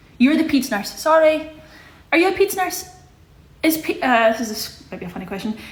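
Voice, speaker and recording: Very wide pitch swings from a woman, with audible room echo around her. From Scotland, Glasgow. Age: 20s. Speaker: livestreamer. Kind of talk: casual chat. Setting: social media livestream. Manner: animated.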